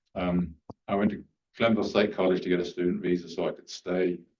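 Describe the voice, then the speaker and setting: Fairly quick, flat, monotone delivery with an English accent. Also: man. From England. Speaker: candidate for vacant council seat. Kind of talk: public comment at council meeting. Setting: city council meeting. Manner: hesitant, many filler ums.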